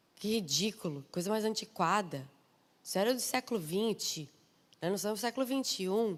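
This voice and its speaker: Animated and with very wide pitch swings, a woman speaks at a moderate pace in a southern Brazilian accent, in a very clean recording with a silent background. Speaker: preacher. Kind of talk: sermon.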